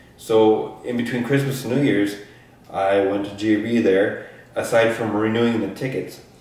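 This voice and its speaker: Audible room echo surrounds a man as he talks at a fairly slow pace. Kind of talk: casual vlog chat, storytelling. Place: home room. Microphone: camera far.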